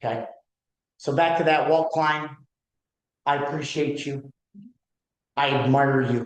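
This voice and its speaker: A man speaks at a fairly slow pace with long, frequent pauses. His pitch is fairly high. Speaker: real estate broker leading office meeting. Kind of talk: office meeting talk. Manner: loud; animated.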